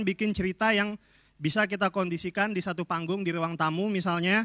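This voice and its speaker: A man with a high pitch and a bright, sharp tone speaks in a raised, projected voice with ordinary pitch variation against a quiet background. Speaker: film director and workshop instructor. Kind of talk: workshop lecture. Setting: stage with audience. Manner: humorous. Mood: humorous, relaxed. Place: hall. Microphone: handheld.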